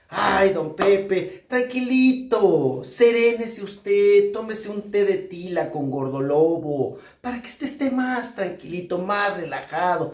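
A man talks very slowly, and audible room echo hangs on his words. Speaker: entertainment news commentator. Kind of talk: commentary. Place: home room.

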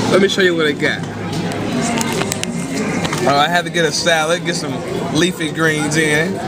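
A man speaking at a moderate pace over music in the background. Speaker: fitness vlogger. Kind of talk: casual vlog chat. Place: cafe. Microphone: phone near.

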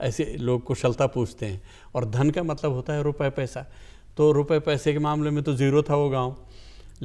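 A man's dark, mellow tone at a fairly slow pace over a quiet background. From Tehri Garhwal, Uttarakhand (Indian Himalayas); Uttarakhand, India. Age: 80s. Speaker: poet; guest. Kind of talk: interview. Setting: studio. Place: studio. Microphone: lapel.

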